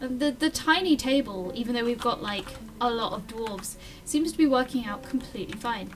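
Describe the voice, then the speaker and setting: With music in the background, a woman speaks at a fairly quick pace in a high pitch, her pitch varying in an ordinary way. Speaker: gaming video host. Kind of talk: casual gameplay commentary. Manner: occasional stutter.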